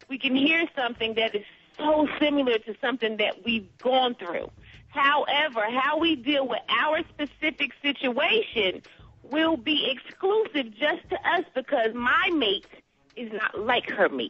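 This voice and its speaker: A woman's high voice with lively intonation, amid noticeable background noise. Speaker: radio talk show co-host. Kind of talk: casual chat. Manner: fast; animated.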